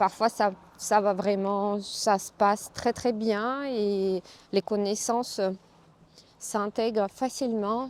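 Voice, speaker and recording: A woman in a Russian accent, medium pitch, monotone and flat, at a very slow pace with long, frequent pauses. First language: Russian (speaking French). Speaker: yoga teacher. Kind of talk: casual vlog talk. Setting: outdoors, walking. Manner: hesitant, with fillers.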